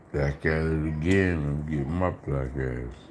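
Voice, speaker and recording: Very slowly and in a very deep, low pitch, a man speaks amid noticeable background noise. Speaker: food eating livestreamer. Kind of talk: casual live stream chat. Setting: live stream. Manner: talking low.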